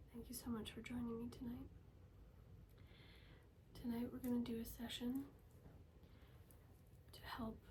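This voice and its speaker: Soft-spoken delivery at a moderate pace, broken by long, frequent pauses. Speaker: Reiki healer. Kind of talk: ASMR healing session.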